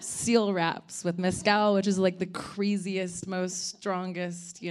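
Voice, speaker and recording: Over background music, a woman with a fairly low pitch and an American accent speaks at a fairly slow pace. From California, Ojai. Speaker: spirits company co-founder. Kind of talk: panel discussion.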